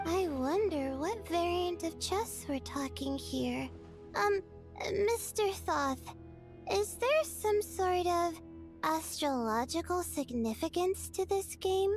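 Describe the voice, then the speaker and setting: A female-sounding put-on character voice at a fairly slow pace, with clear music in the background. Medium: video game. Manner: soft, friendly.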